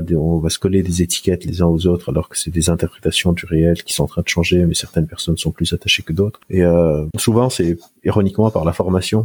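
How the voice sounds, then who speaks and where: Very deep and low, a man's somewhat breathy voice runs at a very fast pace. His intonation stays fairly even. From Lebanon. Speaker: neuroscientist and psychologist. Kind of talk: interview. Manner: hesitant, with many fillers.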